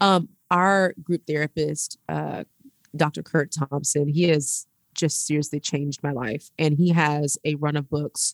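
A woman with an American accent talks at a fairly slow pace. Her pitch is very deep and low. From Houston, Texas. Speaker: ministry founder and speaker. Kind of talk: casual chat. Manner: animated.

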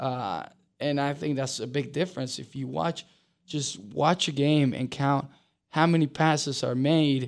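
A man with a Spanish accent speaks at a fairly slow pace in a very clean recording with a silent background. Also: fairly high pitch for a man, ordinary pitch variation. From Uruguay. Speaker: professional soccer player. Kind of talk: podcast interview.

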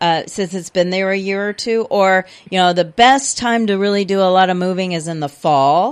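Using an ordinary speaking voice with an American accent, a woman speaks at a medium pitch and moderate pace with ordinary pitch variation and hardly any pauses. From Houston area, Texas. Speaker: garden center expert. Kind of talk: radio call-in advice. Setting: radio studio.

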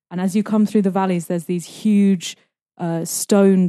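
With a London accent, a woman speaks in a dark, mellow tone at a moderate pace. Her intonation stays fairly even against a quiet background. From London, England. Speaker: expat living in Russia. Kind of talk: casual interview. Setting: small home studio.

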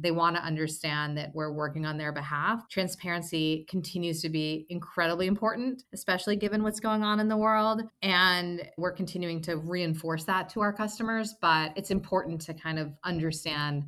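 A woman's bright, sharp voice, fairly low in pitch, with ordinary pitch variation and a moderate pace, on a very clean recording with a silent background. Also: hardly any pauses. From US Mid-Atlantic (Maryland). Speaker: company cofounder and CEO. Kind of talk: casual interview.

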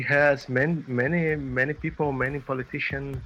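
With music in the background, a man speaks with a Portuguese accent. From Brazil. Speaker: musician and teacher. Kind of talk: interview. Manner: halting.

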